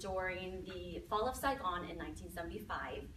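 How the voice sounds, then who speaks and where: With noticeable background noise and audible room echo, a woman speaks at a moderate pace in a Minnesota accent. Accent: Minnesotan. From Minnesota, US Upper Midwest. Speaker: mindset and success coach. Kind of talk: talk to an audience. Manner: conversational, with filler words.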